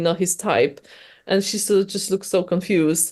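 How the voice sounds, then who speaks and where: Against a quiet background, a woman with a medium pitch speaks with a Polish accent. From Poland. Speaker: novelist. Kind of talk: interview. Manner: halting, many restarts.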